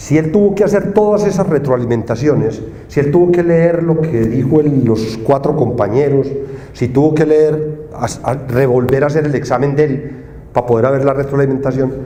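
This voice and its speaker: A man's fairly high voice at a moderate pace, with ordinary pitch variation and very even loudness, amid noticeable background noise and audible room echo. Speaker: engineering professor. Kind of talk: conference talk. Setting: stage with audience. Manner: casual, conversational.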